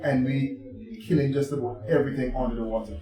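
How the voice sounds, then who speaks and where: Music plays in the background. The room echo is audible. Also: man. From Antigua, Caribbean. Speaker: vegan restaurant crew member. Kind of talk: casual podcast chat.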